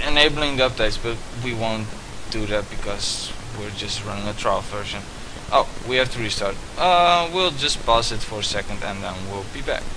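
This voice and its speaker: A man with a Dutch accent talks at medium pitch and a moderate pace with lively intonation. Noticeable background noise and audible room echo are present. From Netherlands. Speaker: student. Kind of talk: tutorial. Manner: hesitant, many fillers.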